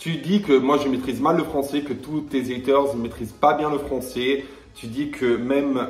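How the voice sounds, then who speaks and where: This man has a medium pitch and fairly even intonation, speaking at a moderate pace. There is audible room echo, with music playing in the background. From Italy and Netherlands. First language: Italian (speaking French). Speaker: YouTuber, reality TV personality. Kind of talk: heated rant video. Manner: confrontational; hesitant with fillers.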